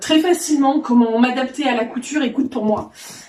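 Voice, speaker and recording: With lively intonation, the speaker moves at a fairly quick pace over noticeable background noise. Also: woman. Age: 40s. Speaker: sewing trainee. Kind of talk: testimony.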